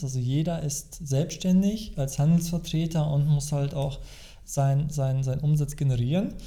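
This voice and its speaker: There is audible room echo as a man speaks at a moderate pace in a somewhat breathy voice. His fairly high pitch carries fairly even intonation. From Germany, East Westphalia-Lippe. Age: 40s. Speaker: financial advisor. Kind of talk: casual interview. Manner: halting, many fillers.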